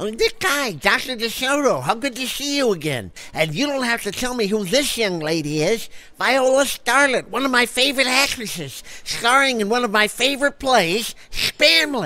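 A man's put-on character voice, extremely high in pitch, at a moderate pace. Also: lively intonation. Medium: audio drama. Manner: eager, gossipy, effusive.

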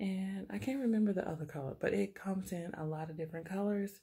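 A woman speaks with lively intonation and a somewhat breathy voice against a quiet background. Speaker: haul vlogger. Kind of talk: casual vlog chat. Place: home room. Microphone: phone near.

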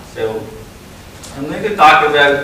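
A man at a fairly slow pace with ordinary pitch variation, audible room echo and light background noise. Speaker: keynote speaker. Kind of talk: conference keynote talk. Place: hall.

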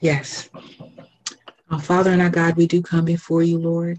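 Against a quiet background, a woman talks at a fairly slow pace in a very deep, low pitch. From US South, South Carolina. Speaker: minister and Sunday school teacher. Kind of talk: personal testimony and devotional encouragement. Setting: phone prayer line. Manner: measured, earnest and reflective. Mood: reverent, earnest. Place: home room. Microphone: video call.

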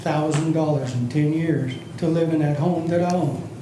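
Amid noticeable background noise and audible room echo, a man with a fairly high pitch speaks with fairly even intonation. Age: 70s. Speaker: retiree, public commenter. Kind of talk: public comment at council meeting. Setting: city commission meeting.

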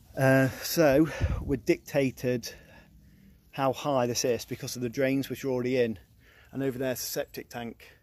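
Delivered at a moderate pace, the voice has a dry sound with no echo. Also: man. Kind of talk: casual vlog chat explaining work. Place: street. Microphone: phone near.

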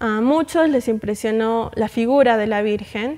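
The intonation is fairly even, set against a quiet background. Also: woman. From Arequipa, Peru; Peru. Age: young. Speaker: guest. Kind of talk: interview. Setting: studio. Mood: calm, warm, devout. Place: studio. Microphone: lapel.

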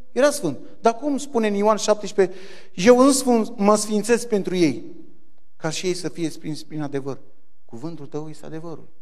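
At a moderate pace, a man with a high voice uses very wide pitch swings and big swings in loudness, leaving long, frequent pauses. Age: 40s. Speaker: church deacon giving testimony; preacher. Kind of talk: testimony. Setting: church. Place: church. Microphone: handheld.

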